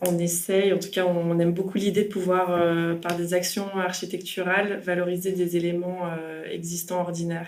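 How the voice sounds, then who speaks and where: A woman talks in a fairly low voice with monotone, flat intonation. Her pace is moderate, and there is audible room echo. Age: 30s. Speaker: architect. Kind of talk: interview. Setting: meeting room.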